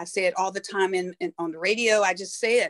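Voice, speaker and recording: A woman speaks at a medium pitch with an East Texas accent. The sound is dry and close, with no echo. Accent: East Texas Southern US. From Texas, Tyler. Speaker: city councilwoman. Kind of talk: casual interview chat. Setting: video call. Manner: halting, many fillers and restarts.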